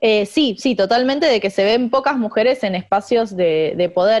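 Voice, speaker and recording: A woman with a Rioplatense accent talks at a fairly quick pace with ordinary pitch variation. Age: 20s. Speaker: economist. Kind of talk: interview.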